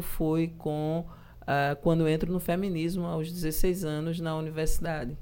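Dark and mellow in tone, a woman speaks at a fairly low pitch. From João Pessoa, Paraíba, Brazil. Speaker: politician. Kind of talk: interview.

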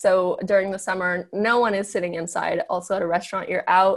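At a fairly quick pace, a woman with a General American accent talks in an unremarkable speaking voice of medium pitch and fairly even intonation, captured in a very clean recording with a silent background. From Los Angeles, US. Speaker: fashion model and health coach. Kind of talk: casual interview.

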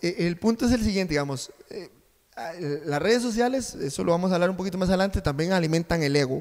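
Long, frequent pauses break up a man's fairly quick speech. His voice is high-pitched, with ordinary pitch variation. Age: 30s. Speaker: journalism student and co-host. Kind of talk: casual chat.

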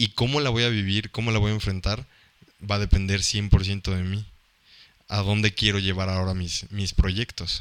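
Recorded very cleanly against a silent background, a man talks at a moderate pace in a fairly low pitch with fairly even intonation. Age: 20s. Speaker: podcast co-host. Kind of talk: casual chat. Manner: halting, repeats words.

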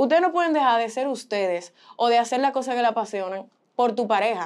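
Intonation rises and falls in a lively way. A woman delivers her words at a fairly quick pace. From Boston, US, Dominican parents. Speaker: model and communications student. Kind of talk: casual chat. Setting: studio.

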